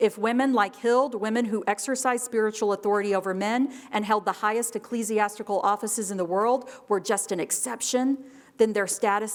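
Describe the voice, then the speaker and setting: The tone is animated. The pace is moderate. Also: woman. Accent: American. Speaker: history professor. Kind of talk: keynote lecture.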